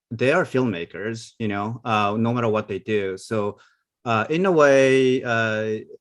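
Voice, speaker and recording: Against a quiet background, a man with a non-native accent talks at medium pitch and a fairly slow pace with ordinary pitch variation. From Asia. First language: not English. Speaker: animation film director. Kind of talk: panel discussion. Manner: hesitant, many fillers.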